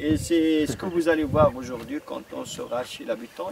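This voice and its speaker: Noticeable background noise is heard. A man talks at a moderate pace. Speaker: tour guide. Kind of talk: guided tour commentary.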